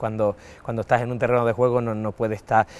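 The pace here is fairly quick. The speaker is a man. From Andalusia, Cádiz province (Valle del Guadiaro); Andalusia, Spain. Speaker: retired footballer. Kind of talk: interview. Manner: halting, many repetitions and fillers. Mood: warm, nostalgic, laughing at times. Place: stadium. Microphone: lapel.

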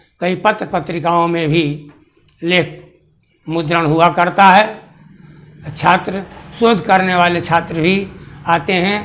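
A man talks at a very slow pace with long, frequent pauses. His pitch is high and his intonation fairly even. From Bihar, Bhojpur district; Bihar. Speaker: retired astrology teacher, Sanskrit scholar. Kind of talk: autobiographical account. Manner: slow, halting with many pauses. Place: home room.

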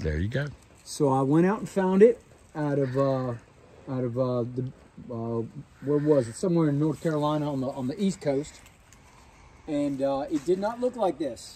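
Speaking at a moderate pace with lively intonation, a man leaves long, frequent pauses. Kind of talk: interview answer. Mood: warm, heartfelt storytelling. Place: open country. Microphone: phone near.

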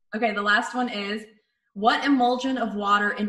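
Against a quiet background, a woman talks at a moderate pace in a normal speaking voice. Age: 30s. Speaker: radio host and video show host; radio host, video show host. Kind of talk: reading quiz questions aloud; casual chat. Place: home room. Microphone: video call.

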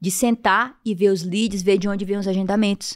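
A woman is speaking. The background is quiet. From Piauí, Brazil. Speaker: vascular surgeon; podcast guest. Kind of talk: interview. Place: studio. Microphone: studio mic.

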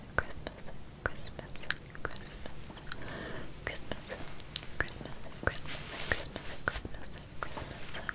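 A soft-spoken woman is whispering at a very slow pace. She leaves long, frequent pauses. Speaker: ASMR creator. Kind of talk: soft ASMR talk to viewers. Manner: soft ASMR whisper, repeated trigger word. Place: home room.

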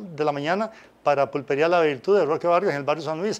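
Here a man talks at a very fast pace. His pitch variation is ordinary. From Costa Rica, Pérez Zeledón (San Isidro); Costa Rica. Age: 60s. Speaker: former football referee and music teacher; interview guest. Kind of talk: interview. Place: studio. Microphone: lapel.

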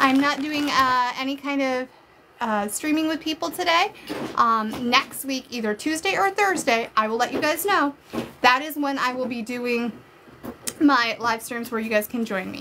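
Over noticeable background noise, a woman with a high pitch speaks in a raised, projected voice, animated in tone, with ordinary pitch variation at a moderate pace. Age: 30s. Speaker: live-stream unboxing creator. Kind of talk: casual live stream chat. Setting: live stream. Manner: chatty, animated. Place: home room. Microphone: phone near.

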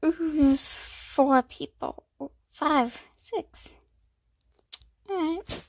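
Soft-spoken, a woman talks at a high pitch. Her pace is very slow, with long, frequent pauses. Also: ordinary pitch variation. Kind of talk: casual gameplay commentary. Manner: quiet, soft.

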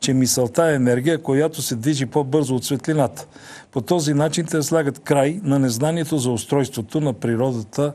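The man's tone is dark and mellow, and his pace is moderate. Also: fairly even intonation. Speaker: TV show host. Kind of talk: TV host introduction. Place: studio. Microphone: lapel.

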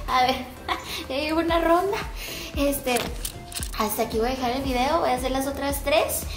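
Over clear background music, a woman with a high pitch talks at a fairly quick pace with ordinary pitch variation. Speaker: fitness vlogger. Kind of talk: casual vlog chat. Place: garage. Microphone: phone near.

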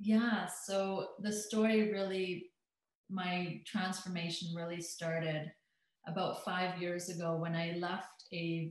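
A woman speaks with a Canadian accent at a fairly low pitch. Her voice is somewhat breathy, her pace fairly slow and her intonation fairly even. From Alberta, Canada. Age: 30s. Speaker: hypnotherapist and transformational coach. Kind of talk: interview chat, personal testimony.

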